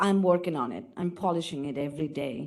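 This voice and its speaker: A woman speaks at a moderate pace with a non-native accent. Her tone is dark and mellow. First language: not English. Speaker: audience member asking question, diversity officer. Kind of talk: audience question at panel.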